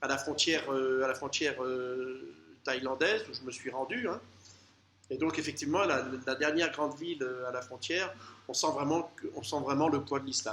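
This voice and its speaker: A man's fairly high voice shows ordinary pitch variation, with noticeable background noise behind it. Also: moderate pace. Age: 60s. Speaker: travel vlogger. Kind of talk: casual travel monologue. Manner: halting, many hesitations.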